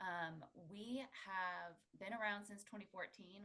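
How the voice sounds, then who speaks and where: Ordinary pitch variation marks a woman's speech. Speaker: pricing software solutions consultant. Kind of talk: webinar presentation. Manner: soft-spoken. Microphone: too quiet.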